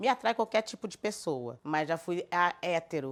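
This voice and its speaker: There is a woman speaking in a very clean recording with a silent background. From southern Brazil, Florianópolis. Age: 50s. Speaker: cultural producer. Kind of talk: documentary interview.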